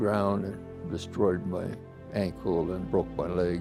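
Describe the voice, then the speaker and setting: Music plays in the background while a man speaks at a very slow pace. Audible room echo surrounds his voice. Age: 90s. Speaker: war veteran. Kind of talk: interview testimony. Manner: halting.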